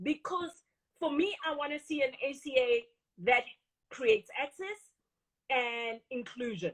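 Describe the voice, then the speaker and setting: In a Botswana accent, a woman speaks at a high pitch with lively intonation, at a fairly slow pace with long, frequent pauses. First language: Setswana. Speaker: industry association CEO. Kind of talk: interview.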